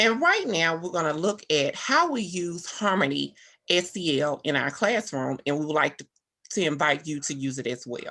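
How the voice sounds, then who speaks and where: A woman speaks with a Southern US accent at a moderate pace. Her voice is fairly low, with a bright, sharp tone and lively intonation. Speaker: teacher. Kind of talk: presentation. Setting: video call.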